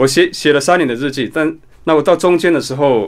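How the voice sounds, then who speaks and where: The recording is very clean, with a silent background. A man speaks at a moderate pace in a fairly high voice. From Taiwan, Nantou mountains (Bunun community). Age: 40s. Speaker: author. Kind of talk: interview. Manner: many filler sounds and hesitations.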